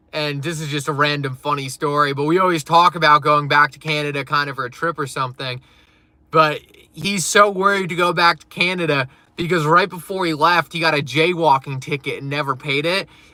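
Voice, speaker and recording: A man's fairly high-pitched voice, bright and sharp in tone, with fairly even intonation and a fairly quick pace. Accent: northeastern US. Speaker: crypto live streamer. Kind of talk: live stream chat. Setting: live stream. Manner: casual, filler-heavy.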